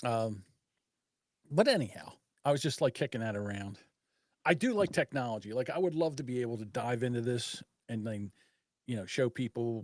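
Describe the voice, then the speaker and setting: In a dry, close sound with no echo, a man at medium pitch with ordinary pitch variation talks at a fairly quick pace, leaving long, frequent pauses, on a very clean recording with a silent background. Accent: Philadelphia. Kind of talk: casual, conversational.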